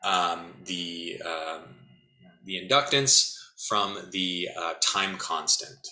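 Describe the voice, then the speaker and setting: A man speaks very slowly with lively intonation and a bright, sharp tone, his voice carrying audible room echo. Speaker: physics instructor. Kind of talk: lecture.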